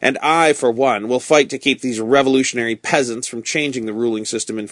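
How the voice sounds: Here, a voice reads naturally. It is a natural reading voice.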